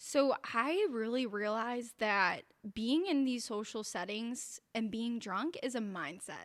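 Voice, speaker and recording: A woman with a Cleveland accent, fairly high pitch and lively intonation at a fairly slow pace, on a very clean recording with a silent background. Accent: Cleveland, Ohio. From Cleveland, Ohio. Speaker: podcast guest, mother. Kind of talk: casual chat.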